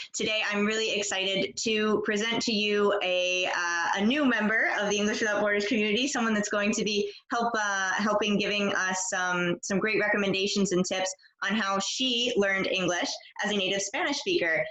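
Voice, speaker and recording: A woman's medium-pitched voice over noticeable background noise, with fairly even intonation and very even loudness. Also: moderate pace. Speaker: English teacher. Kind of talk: interview host questions.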